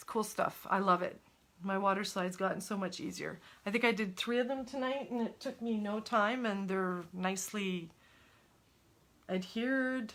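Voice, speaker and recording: A woman with a French Canadian accent, medium pitch, moderate pace and ordinary pitch variation. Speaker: crafter. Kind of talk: tutorial. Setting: live stream. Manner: casual.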